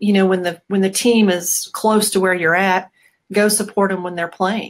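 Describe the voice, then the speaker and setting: A woman talks at a moderate pace in a medium-pitched voice with fairly even intonation. It is an unremarkable speaking voice, set against a quiet background. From US Midwest, Bettendorf, Iowa; Iowa. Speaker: rugby program supporter; interview guest, chiropractor. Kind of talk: casual interview. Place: home room.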